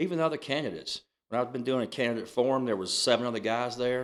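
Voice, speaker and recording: A man speaks at a fairly quick pace with a strong Southern US accent. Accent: thick Southern US. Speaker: county commissioner. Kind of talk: casual interview.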